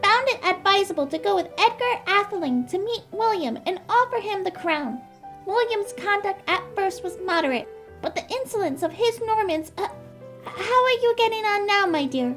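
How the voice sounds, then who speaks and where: A put-on character voice moves at a moderate pace over clear music in the background. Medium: audio drama. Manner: self-important, formal.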